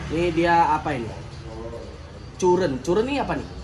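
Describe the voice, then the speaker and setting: A man with a high pitch talks at a moderate pace against noticeable background noise. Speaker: automotive product reviewer. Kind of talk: casual unboxing commentary. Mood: joking, playful. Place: shop. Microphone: phone near.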